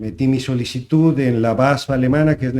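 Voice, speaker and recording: At a moderate pace, a man with a medium pitch and a dark, mellow tone speaks with fairly even intonation. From Sinaloa, Mexico (Guasave). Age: 60s. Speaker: agronomist and renewable energy specialist. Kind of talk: interview. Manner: halting.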